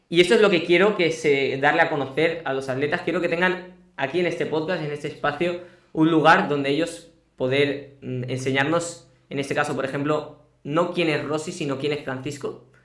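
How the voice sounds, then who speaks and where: With audible room echo, a man speaks at a fairly quick pace in a fairly high voice with fairly even intonation. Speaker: podcast host. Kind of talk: live-streamed interview. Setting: home studio.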